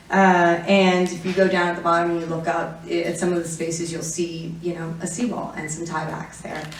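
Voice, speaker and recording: A woman with an American accent speaks in a fairly low, flat monotone with hardly any pauses, with audible room echo and noticeable background noise. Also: fairly quick pace. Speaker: city councilmember. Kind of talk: conference presentation. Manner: fast; hesitant with fillers.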